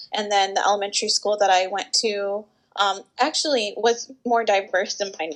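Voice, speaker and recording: A woman with an American accent and a normal speaking voice, fairly high in pitch, at a moderate pace against a quiet background. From US South, Georgia (Atlanta area). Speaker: speech-language pathologist. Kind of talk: interview. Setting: video call.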